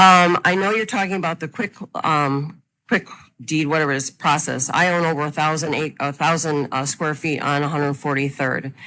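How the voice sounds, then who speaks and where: In a Chicago accent, a loud voice with a bright, sharp tone moves at a moderate pace with ordinary pitch variation on a very clean recording with a silent background. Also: woman, very deep, low pitch for a woman. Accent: Chicago-area American. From Illinois, Chicago suburbs (Burr Ridge). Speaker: farm owner, public commenter. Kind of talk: public hearing testimony. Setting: public meeting room with microphone.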